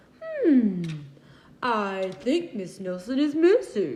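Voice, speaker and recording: Putting on a character voice, a woman speaks at a very slow pace in a high pitch with very wide pitch swings. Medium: read story. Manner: slow, pondering.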